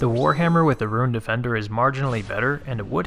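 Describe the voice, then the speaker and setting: A man's voice has ordinary pitch variation. Background music can be heard. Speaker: game guide narrator. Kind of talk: game tutorial narration. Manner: casual.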